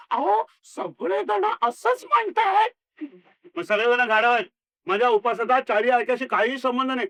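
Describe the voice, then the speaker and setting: Putting on a character voice, a man speaks at an extremely high pitch with lively intonation and a fairly slow pace. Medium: solo performance. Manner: apologetic, placating.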